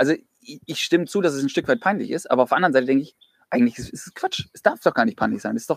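Speaking at a very fast pace, a man has a fairly high pitch, vocal fry, lively intonation and big swings in loudness. The sound is dry and close, with no echo. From Flensburg area, northern Germany. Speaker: church youth leader. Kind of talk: casual chat. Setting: outdoors, in a garden.

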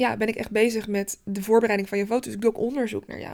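A woman talks at medium pitch in a monotone, flat intonation. The recording is very clean, with a silent background. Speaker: photographer and podcast host. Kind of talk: casual solo podcast monologue. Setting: daylight photo studio. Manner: hesitant, many filler sounds.

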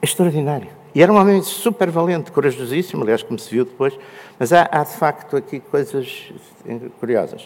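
A man with a fairly high pitch talks at a fairly quick pace. His intonation is lively, with big swings in loudness. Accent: European Portuguese. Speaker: panel speaker. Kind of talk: panel talk.

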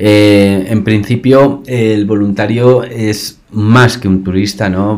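A man talks with a Spanish accent and ordinary pitch variation. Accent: Peninsular Spanish. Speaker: podcast host and volunteer organizer. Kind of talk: interview. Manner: animated. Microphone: laptop mic.

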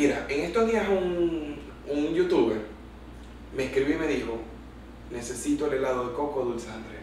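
A man with a fairly high voice talks at a moderate pace with lively intonation and long, frequent pauses. Noticeable background noise and audible room echo fill the recording. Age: 30s. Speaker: lawyer and cultural events entrepreneur. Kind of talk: casual interview.

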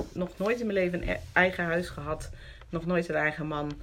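This woman has a plain, everyday voice with a fairly low pitch. Her pitch variation is ordinary. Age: 50s. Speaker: interview guest sharing recovery story. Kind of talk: personal testimony in conversation.

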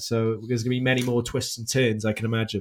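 Here a man speaks with a Welsh accent. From Wales. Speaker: podcast host. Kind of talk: casual chat.

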